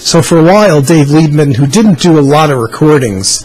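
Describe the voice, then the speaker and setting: A man speaks while faint music sits in the background. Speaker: music fan vlogger. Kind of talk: casual vlog chat. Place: home room. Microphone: webcam.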